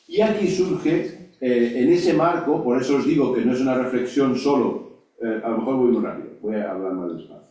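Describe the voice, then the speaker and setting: A man at a medium pitch swings his voice very widely up and down, with audible echo from the room. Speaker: lecturer on ecumenism. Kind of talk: lecture. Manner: fast; halting with fillers.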